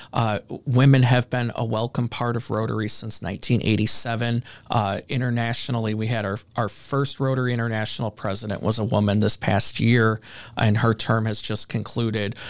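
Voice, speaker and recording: Someone with an American accent speaks fairly quickly in a monotone, flat delivery. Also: man, medium pitch for a man. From northwest Indiana (Hammond, near Chicago). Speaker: small business owner and networking organizer. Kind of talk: interview. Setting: studio.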